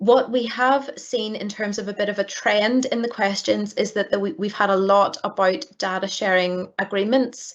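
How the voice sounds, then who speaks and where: A woman with a Northern Irish accent, medium pitch and fairly even intonation, at a moderate pace with hardly any pauses. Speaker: data protection regulator staff, question moderator. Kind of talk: webinar Q&A moderation. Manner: hesitant with many repeated words.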